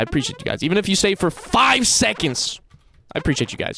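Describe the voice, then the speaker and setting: With an American accent, a man talks at a very fast pace with very wide pitch swings over noticeable background noise. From United States. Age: 20s. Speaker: live streamer. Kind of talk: casual chat. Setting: live stream.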